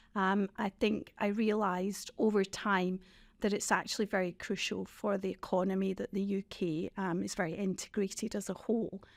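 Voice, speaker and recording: In a Scottish accent, a woman talks at a medium pitch and moderate pace with monotone, flat intonation on a very clean recording with a silent background. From Scotland. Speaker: former member of parliament. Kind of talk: podcast interview.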